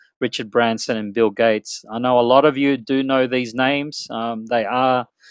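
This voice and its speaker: At a moderate pace and medium pitch, a man with an Australian accent speaks with fairly even intonation, in a dry, close recording with no echo and a quiet background. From Australia, Melbourne. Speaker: internet marketing webinar presenter. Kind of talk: webinar presentation. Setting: online webinar. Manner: conversational, filler-heavy.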